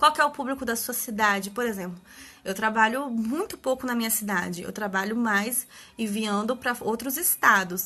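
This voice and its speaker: A woman with a fairly high pitch, a bright, sharp tone and ordinary pitch variation. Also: moderate pace. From Brazil, Espírito Santo (Vila Velha). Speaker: papercraft party-decor maker. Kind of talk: instagram live tutorial talk. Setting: live stream at home.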